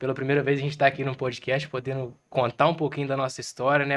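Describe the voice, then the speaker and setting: A man with a fairly high voice speaks at a fairly quick pace. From Minas Gerais, Brazil (Zona da Mata). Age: 20s. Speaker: small business owner. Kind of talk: podcast interview.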